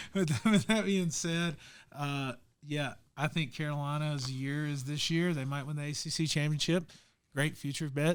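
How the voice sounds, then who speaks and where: A man with a Southern US accent and a fairly high pitch talks at a moderate pace with fairly even intonation, in a very clean recording over a silent background. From US South. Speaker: sports betting podcast host. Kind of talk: casual chat. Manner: hesitant, many fillers.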